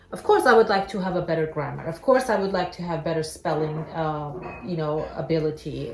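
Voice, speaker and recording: With music in the background and audible room echo, a woman speaks at a moderate pace in an Armenian accent, her pitch fairly low. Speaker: talk show host. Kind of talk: casual chat.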